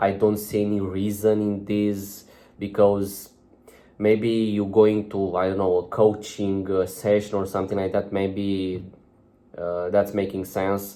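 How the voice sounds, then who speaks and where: A dark, mellow tone in a non-native accent, fairly slow in pace and monotone, flat in intonation. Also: man, fairly low pitch for a man. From outside UK and America. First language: not English. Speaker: self-improvement vlogger. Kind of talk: casual vlog monologue. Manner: halting, many fillers.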